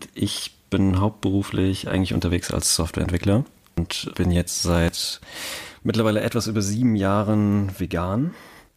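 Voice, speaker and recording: A plain, everyday voice from a man, fairly low in pitch, with fairly even intonation, very even loudness and a moderate pace, on a very clean recording with a silent background. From Hesse, Germany (between Cologne and Frankfurt). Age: 20s. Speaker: podcast co-host, software developer. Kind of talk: casual chat.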